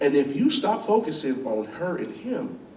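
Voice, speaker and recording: A man speaks loud in an animated tone, with audible room echo around him. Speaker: chef and business owner. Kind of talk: school talk, Q&A.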